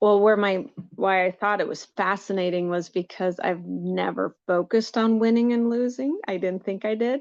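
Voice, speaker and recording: Against a quiet background, a woman of medium pitch speaks at a moderate pace with ordinary pitch variation and hardly any pauses. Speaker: coaching client. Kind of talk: live coaching session. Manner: halting, many false starts.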